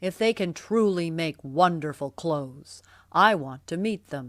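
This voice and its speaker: A put-on character voice delivers lively intonation at a moderate pace. The recording is very clean, with a silent background. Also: woman, fairly low pitch for a woman. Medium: read story. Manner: eager, commanding.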